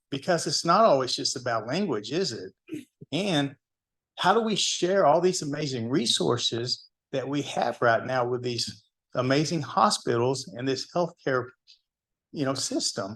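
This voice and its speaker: A man speaks in an American accent at a fairly high pitch. His intonation is lively. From Texas, Duncanville. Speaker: hospital EMS program manager, guest speaker. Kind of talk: talk at a club meeting. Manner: conversational, asks audience questions.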